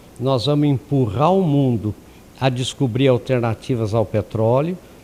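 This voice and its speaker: At a fairly slow pace, a man with a medium pitch speaks in a dark, mellow tone with ordinary pitch variation. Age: 70s. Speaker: lecturer. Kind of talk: lecture. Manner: conversational, many fillers.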